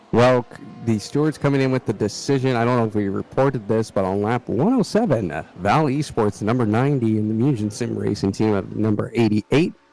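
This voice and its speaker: A man with an American accent, medium pitch and ordinary pitch variation, at a fairly quick pace over noticeable background noise. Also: hardly any pauses. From US Midwest. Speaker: sim racing commentator. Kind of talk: live commentary.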